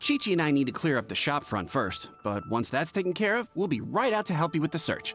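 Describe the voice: Over faint music in the background, a man does a put-on character voice with a fairly high pitch, big pitch swings, a fairly bright tone and a fairly quick pace.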